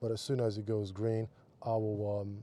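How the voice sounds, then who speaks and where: A man speaks in a fairly low voice. His tone is dark and mellow and somewhat breathy. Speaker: car vlogger. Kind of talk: casual driving commentary. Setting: in a car. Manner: hesitant, many fillers.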